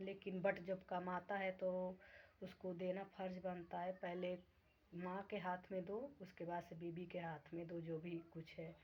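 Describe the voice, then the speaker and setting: Somewhat breathy, the voice moves at a fairly slow pace with monotone, flat intonation. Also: woman, medium pitch for a woman. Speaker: vlogger. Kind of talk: casual vlog talk to viewers.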